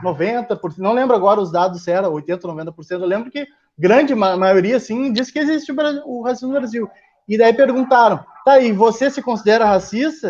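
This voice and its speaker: A man with a high pitch speaks at a fairly quick pace. His intonation is lively, with big swings in loudness. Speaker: presenter of a talk on racism. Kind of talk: lecture.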